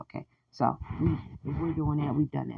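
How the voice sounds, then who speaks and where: With a dark, mellow tone, a woman speaks at a fairly quick pace. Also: quiet background. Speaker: podcast host. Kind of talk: solo podcast commentary reading AI research. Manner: halting, stumbles over words.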